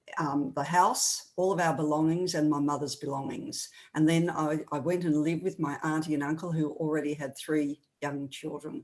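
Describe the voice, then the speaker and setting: With a very deep, low pitch for a woman, she speaks at a moderate pace in a monotone, flat intonation. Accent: Australian. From Australia, rural New South Wales. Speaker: author and speaker. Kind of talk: testimony.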